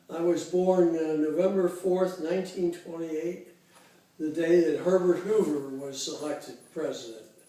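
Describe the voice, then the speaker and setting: Over noticeable background noise, a high-pitched man speaks at a fairly slow pace with fairly even intonation. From US Midwest, Cincinnati, Ohio. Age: 80s+. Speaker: interviewee, retiree. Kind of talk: oral history interview. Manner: halting, many fillers.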